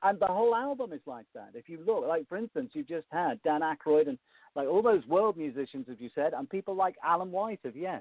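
A man with a Liverpool accent speaks at a fairly quick pace in a high voice. His pitch swings very widely and his loudness shifts a lot. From Liverpool, England. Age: 50s. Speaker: music presenter and author. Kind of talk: interview. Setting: phone call.

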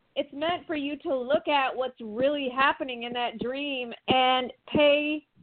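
Here a woman talks in a high pitch with an American accent. Her pace is fairly slow. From small town in Michigan. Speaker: psychic and yoga teacher. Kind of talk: casual chat.

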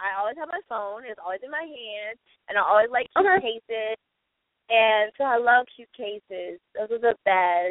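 A woman with a fairly high voice and an American accent, lively in intonation, at a moderate pace, with big swings in loudness. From Texas. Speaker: actress and producer. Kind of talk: radio interview by phone. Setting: phone call.

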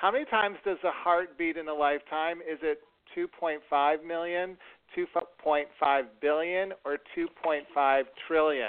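A man speaks with an American accent at a very slow pace. His pitch sits fairly high. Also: ordinary pitch variation. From US Northeast. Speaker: podcast host. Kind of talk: talk show hosting. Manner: animated.

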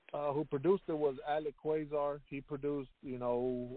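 This man has an ordinary speaking voice with an American accent. He talks at a moderate pace with fairly even intonation. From Houston, Texas. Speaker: rapper. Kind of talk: interview.

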